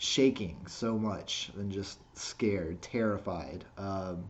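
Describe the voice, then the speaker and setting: A man speaks very slowly in a fairly low voice with fairly even intonation, and audible room echo surrounds him. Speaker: skateboarding vlogger. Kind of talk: casual vlog monologue. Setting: self-recorded video. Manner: halting, repeats words.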